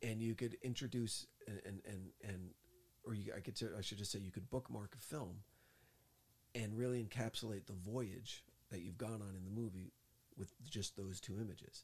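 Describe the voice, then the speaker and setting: Somewhat breathy and fairly low, a man with an American accent speaks at a moderate pace with fairly even intonation and long, frequent pauses. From New Jersey. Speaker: podcast co-host, movie reviewer. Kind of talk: casual chat. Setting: studio in Hollywood. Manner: soft-spoken.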